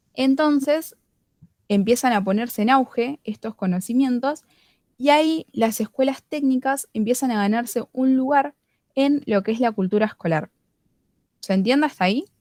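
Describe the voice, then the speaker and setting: A woman with a high pitch speaks at a moderate pace, her pitch varying in an ordinary way. Long, frequent pauses break up her speech, and the sound is dry and close with no echo. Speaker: student study group leader. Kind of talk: tutorial.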